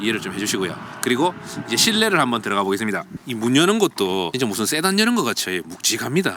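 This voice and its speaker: A man's very fast speech at medium pitch, with very wide pitch swings and noticeable background noise. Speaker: car reviewer. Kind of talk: car review walkaround. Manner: casual, conversational.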